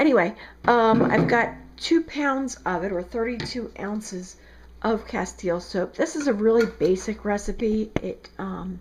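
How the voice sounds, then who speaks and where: A woman in a South Jersey accent speaks at a fairly slow pace with lively intonation. Background noise is noticeable. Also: fairly high pitch for a woman. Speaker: soap maker. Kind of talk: tutorial. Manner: casual, conversational.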